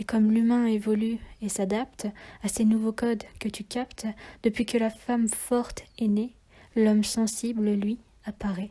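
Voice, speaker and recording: Somewhat breathy with a dark, mellow tone, a woman speaks at a fairly slow pace and fairly high pitch in monotone, flat intonation. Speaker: poet. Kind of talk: slam poetry reading.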